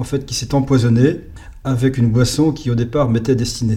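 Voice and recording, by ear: A man talks at a medium pitch with a dark, mellow tone and fairly even intonation.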